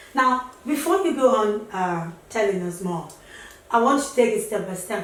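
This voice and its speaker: The speech moves at a moderate pace with lively intonation, against noticeable background noise and audible room echo. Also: woman. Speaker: talk show host. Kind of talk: interview.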